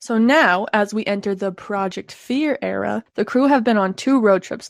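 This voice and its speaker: Woman with an ordinary speaking voice and medium pitch at a moderate pace, on a very clean recording with a silent background. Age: 20s. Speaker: podcast co-host. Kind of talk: scripted reading.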